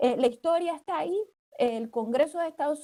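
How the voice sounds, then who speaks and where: A woman's dark, mellow tone with lively intonation at a moderate pace. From Puerto Rico. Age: 40s. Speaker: international law attorney. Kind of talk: panel discussion. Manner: hesitant, many fillers.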